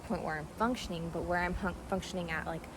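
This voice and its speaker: A woman's fairly low, fairly evenly intoned voice amid audible room echo and noticeable background noise. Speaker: energy healer and yoga practitioner. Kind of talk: casual monologue. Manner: fast.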